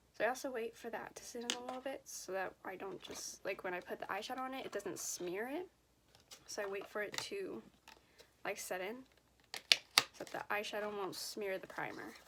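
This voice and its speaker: Noticeable background noise surrounds a woman with a fairly high pitch. She uses ordinary pitch variation and leaves long, frequent pauses. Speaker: beauty vlogger. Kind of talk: casual makeup tutorial chat. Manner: repeats and restarts sentences.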